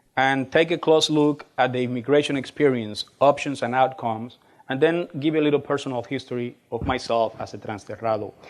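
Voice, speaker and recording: A man with a Spanish accent speaks at a fairly quick pace in a medium pitch, keeping his intonation fairly even. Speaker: college administrator and speaker. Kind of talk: lecture. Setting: stage with audience. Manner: fast.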